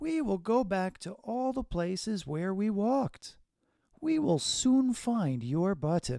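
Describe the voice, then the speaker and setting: A man puts on a character voice, pitched high and swinging very widely up and down. He talks at a fairly slow pace. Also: very clean recording, silent background. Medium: read story. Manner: calm, reassuring.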